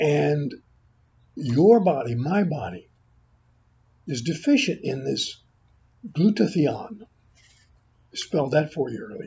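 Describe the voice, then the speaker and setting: A man with a fairly high pitch and vocal fry, at a very slow pace, with very wide pitch swings, big swings in loudness, and long, frequent pauses. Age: 80s+. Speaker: health video creator. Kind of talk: informal product talk to camera. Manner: halting.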